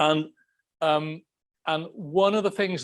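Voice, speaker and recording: A man speaks in a fairly high pitch with a Welsh accent. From Wales. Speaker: political science professor. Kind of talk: lecture. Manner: animated.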